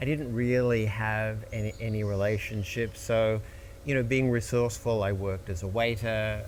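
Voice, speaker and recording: Fairly even intonation in an American accent, moderate pace, with audible room echo. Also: man. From Australia, Melbourne. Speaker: entertainment lawyer. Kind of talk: interview conversation.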